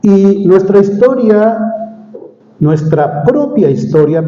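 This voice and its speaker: Over noticeable background noise, a man's voice carries an audible room echo. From Mexico City. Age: 60s. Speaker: preacher. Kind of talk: sermon.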